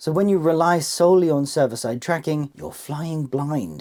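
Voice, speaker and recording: At a moderate pace, a man speaks with a British accent over a quiet background. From Britain. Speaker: tech video presenter; presenter. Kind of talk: scripted explainer. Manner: playful, theatrical. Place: home room.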